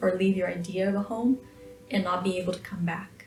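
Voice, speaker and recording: A woman speaks at a medium pitch. Noticeable background noise sits behind her. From Brazil, countryside of São Paulo. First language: Portuguese. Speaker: artist. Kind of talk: documentary interview.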